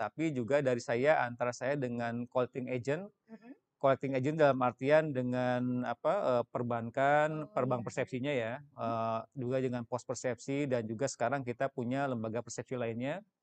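A man with a plain, everyday voice speaks at a medium pitch and a moderate pace. His intonation is fairly even, with hardly any pauses. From West Java, Indonesia. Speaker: senior government finance official. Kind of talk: interview explanation. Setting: studio.

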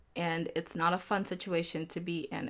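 A woman's voice carries vocal fry. The background is silent and the recording very clean. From Nigeria. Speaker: podcast host. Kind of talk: casual solo podcast talk. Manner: laughs often.

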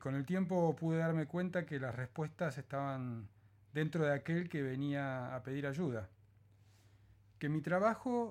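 A man speaks fairly slowly with lively intonation. The recording is very clean, with a silent background. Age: 50s. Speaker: psychologist and podcaster. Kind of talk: reading aloud of a reflective essay; casual podcast intro. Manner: calm, gentle.

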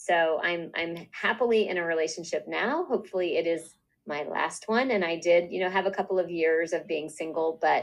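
Here is a woman with a normal speaking voice and a fairly low pitch. She goes at a moderate pace with ordinary pitch variation. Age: 50s. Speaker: podcast co-host. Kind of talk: casual chat.

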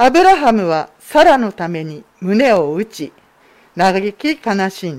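A woman talks at a very slow pace in a medium pitch, with very wide pitch swings and big swings in loudness. The recording is very clean and the background silent. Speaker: scripture reader. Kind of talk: reading aloud. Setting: church.

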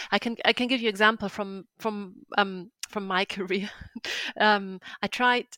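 A woman speaks in a German accent at a medium pitch and a fairly slow pace. Her intonation stays monotone and flat. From northern Germany. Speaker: freelance translator and coach. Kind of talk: interview, casual chat.

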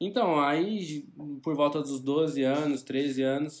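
A man speaks with a plain, everyday voice. His pitch sits fairly high and varies in an ordinary way. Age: 20s. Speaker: e-commerce entrepreneur. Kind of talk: casual interview.

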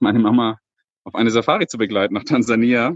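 The sound is dry and close, without any echo. A man talks fairly quickly at a medium pitch. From Lake Constance, southern Germany. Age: 30s. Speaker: safari guide. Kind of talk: casual interview. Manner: hesitant with many fillers.

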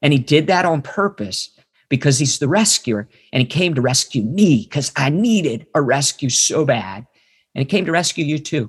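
Somewhat breathy, this voice has an American accent, lively intonation and a moderate pace. The sound is dry and close with no echo, and the background is quiet. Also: man, fairly high pitch for a man. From West Virginia. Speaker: ministry trainer and former missionary. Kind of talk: casual interview and Bible teaching.

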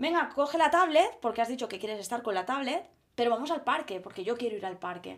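A woman's high-pitched voice at a very fast pace, with lively intonation. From Mallorca, Spain. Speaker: primary school teacher. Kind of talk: casual chat. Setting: recording at home.

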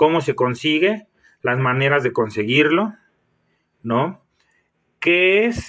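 On a very clean recording with a silent background, a man talks at a very slow pace. His fairly high voice carries lively intonation. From Mexico, Michoacán. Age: 30s. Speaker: fitness coach and bodybuilder. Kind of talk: solo podcast monologue.

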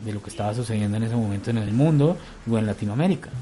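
The man's voice sits at a medium pitch, with ordinary pitch variation and a dark, mellow tone. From Colombia, Bogotá. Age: 40s. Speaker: patient advocate. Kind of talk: testimony.

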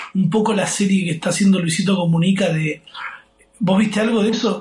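Speaking at a fairly quick pace, a man with a Rioplatense accent uses a high pitch and fairly even intonation. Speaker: podcast host. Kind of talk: casual chat. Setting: friend's kitchen abroad.

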